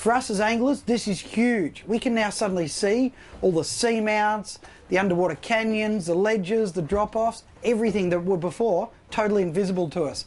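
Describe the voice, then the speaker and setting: With an Australian accent, a man speaks in a high pitch at a moderate pace. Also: ordinary pitch variation. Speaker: fishing show host. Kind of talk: outdoor presenting; scripted narration. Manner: shouting, excited.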